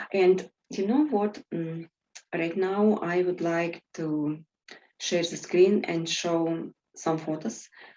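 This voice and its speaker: A woman with a Russian accent speaks at a fairly low pitch with ordinary pitch variation. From Siberia, Russia (Tomsk). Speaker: host. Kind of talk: interview chat.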